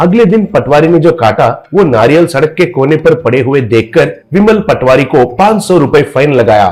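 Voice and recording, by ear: This man's voice is fairly high and slightly mellow, with lively intonation. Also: moderate pace.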